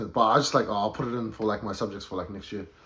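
A man speaks in a New Zealand accent. His pitch is fairly low. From New Zealand, South Auckland. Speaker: photographer, creative. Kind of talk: casual chat.

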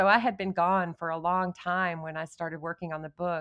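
Speaking fairly quickly with an American accent, a woman has an unremarkable speaking voice, a fairly low pitch and fairly even intonation. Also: dry, close sound with no echo. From West Texas (Odessa). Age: 50s. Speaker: novelist. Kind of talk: interview.

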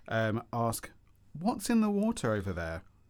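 With a southeast English accent, a man speaks at a medium pitch that swings very widely. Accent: south-east English. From Kent, south-east England. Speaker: podcast co-host. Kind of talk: casual chat.

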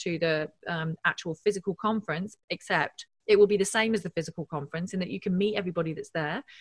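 A woman's medium-pitched, somewhat breathy voice at a very fast clip, recorded dry and close with no echo. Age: 40s. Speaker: engineering professor and drone expert. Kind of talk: casual interview.

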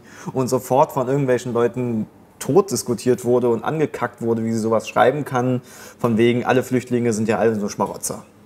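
Speaking fairly quickly with fairly even intonation, a man uses an ordinary speaking voice at a medium pitch. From Germany. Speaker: comedian. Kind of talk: casual discussion.

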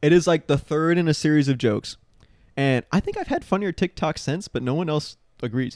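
A man with an unremarkable speaking voice talks fairly quickly and fairly high, with ordinary pitch variation. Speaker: podcast host. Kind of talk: casual banter podcast chat.

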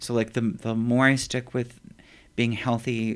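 In a very clean recording with a silent background, a man speaks at a fairly slow pace in a flat monotone. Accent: American. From US, factory town. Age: 50s. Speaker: poet. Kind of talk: interview. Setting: empty office.

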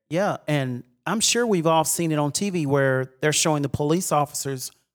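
With an East Texas accent and lively intonation, a man talks at a moderate pace in a dry, close sound with no echo. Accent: East Texas Southern US. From East Texas (Mount Vernon). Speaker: church music minister. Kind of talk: casual discussion.

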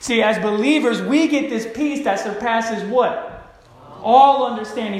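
This man talks at a moderate pace in a high voice, his pitch varying in an ordinary way. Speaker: pastor. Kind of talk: sermon. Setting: church with congregation and microphone. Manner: halting, many fillers.

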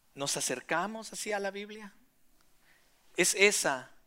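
In a very clean recording with a silent background, a man talks at a high pitch with a bright, sharp tone. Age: 40s. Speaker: pastor. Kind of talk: sermon.

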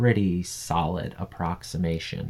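A man with an American accent speaks at a fairly slow pace in a dark, mellow tone. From US Midwest, Wisconsin. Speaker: podcast co-host, construction worker. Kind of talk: casual chat.

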